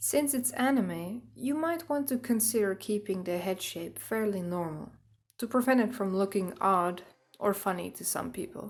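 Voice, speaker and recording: A woman with a Dutch accent speaks at a moderate pace with a medium pitch. Her voice is somewhat breathy and her intonation lively. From Netherlands. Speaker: artist. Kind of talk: drawing tutorial narration. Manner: upbeat.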